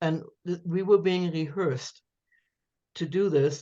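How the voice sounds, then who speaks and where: A fairly low-pitched woman's voice with a German accent. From Germany, then Canada and New York City. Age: 70s. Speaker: author. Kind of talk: interview, personal storytelling. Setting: podcast interview. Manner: occasional stammering repetitions.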